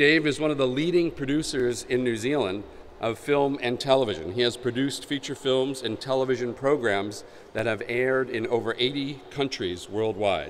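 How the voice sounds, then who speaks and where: Noticeable background noise sits behind a man with an American accent. He talks at a moderate pace and medium pitch, with ordinary pitch variation. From United States. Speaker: conference moderator. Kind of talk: event introduction. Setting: conference stage with audience. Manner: halting, many fillers.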